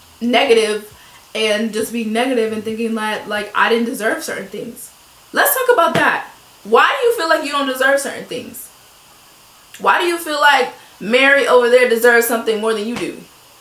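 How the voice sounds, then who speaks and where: A woman talks at a fairly quick pace, high-pitched with ordinary pitch variation and an animated tone. Her loudness swings widely, and the recording carries noticeable background noise and audible room echo. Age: 20s. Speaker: lifestyle vlogger. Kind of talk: motivational talk. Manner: fast.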